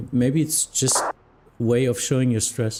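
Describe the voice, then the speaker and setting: Speaking fairly slowly with a German accent, a man keeps a medium pitch. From Germany. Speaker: flight simulation streamer and virtual air traffic controller. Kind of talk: casual livestream chat. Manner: halting, with frequent fillers.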